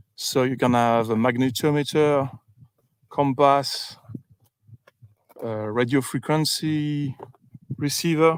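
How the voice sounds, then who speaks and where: Talking with a French accent, a man with a fairly high pitch speaks very slowly with fairly even intonation and long, frequent pauses. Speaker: UAP researcher livestreamer. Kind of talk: casual livestream commentary. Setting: outdoors in the field. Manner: halting, many fillers.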